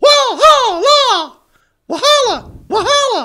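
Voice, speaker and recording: This put-on character voice is squeaky and extremely high-pitched. It moves at a very slow pace. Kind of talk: casual podcast chat. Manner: honking, bird-call. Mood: amused.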